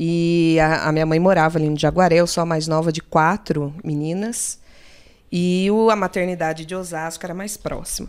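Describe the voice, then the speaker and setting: On a very clean recording with a silent background, a woman speaks at a fairly low pitch with monotone, flat intonation. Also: moderate pace. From São Paulo state interior (Limeira). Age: 30s. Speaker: public cultural program coordinator. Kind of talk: casual chat.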